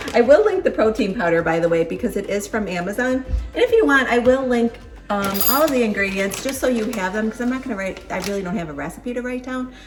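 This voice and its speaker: With a Buffalo accent, a woman speaks at a very fast pace and fairly high pitch, animated in tone with lively intonation, as music plays in the background. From Buffalo, New York, US. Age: 50s. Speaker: lifestyle vlogger. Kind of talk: casual vlog tutorial. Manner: chatty, animated.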